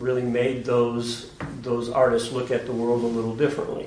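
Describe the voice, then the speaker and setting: Over noticeable background noise, a man with a medium pitch talks at a fairly quick pace. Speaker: gallery director. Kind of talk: gallery talk. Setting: gallery with audience.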